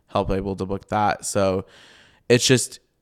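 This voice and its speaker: A man's fairly low-pitched, ordinary speaking voice with an American accent, at a moderate pace, on a very clean recording with a silent background. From US Midwest (Iowa). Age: 20s. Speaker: publicist. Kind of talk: casual interview chat. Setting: home recording.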